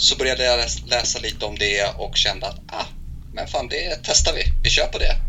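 Moderately paced speech from a man, amid audible room echo and noticeable background noise. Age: 20s. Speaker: physiotherapist. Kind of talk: interview. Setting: Skype call.

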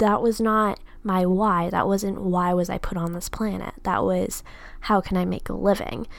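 This woman has an ordinary speaking voice at a medium pitch. She talks at a moderate pace with fairly even intonation. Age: 20s. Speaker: podcast host and student entrepreneur. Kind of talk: solo podcast monologue.

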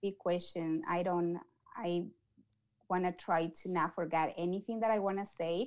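A woman with an Ecuadorian accent, medium pitch and fairly even intonation, at a moderate pace with long, frequent pauses. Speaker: community outreach coordinator. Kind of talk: interview. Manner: halting.

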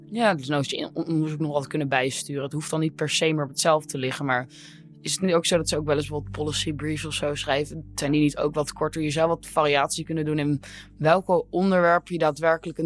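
Very fast speech over music in the background. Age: 20s. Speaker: intern. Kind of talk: casual chat.

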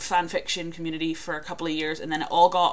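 Over noticeable background noise, a woman speaks at a fairly quick pace with a Northern Irish accent. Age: 20s. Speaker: podcast co-host. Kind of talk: casual chat.

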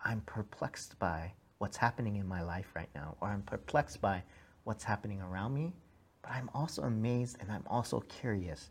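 Somewhat breathy and fairly low, a man's voice with an American accent moves at a fairly quick pace with lively intonation on a very clean recording with a silent background. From US, second-generation Korean American. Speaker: pastor. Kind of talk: sermon. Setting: church.

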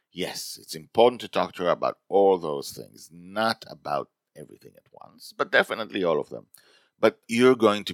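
A natural reading voice with ordinary pitch variation and a quiet background.

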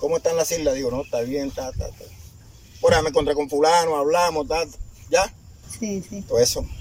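A man speaks in a Colombian Caribbean accent at a very fast pace. His speech has long, frequent pauses. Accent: Colombian Caribbean coastal Spanish. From La Boquilla, Cartagena, Caribbean coast of Colombia. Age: 60s. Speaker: community founder and leader. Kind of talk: testimony. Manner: animated.

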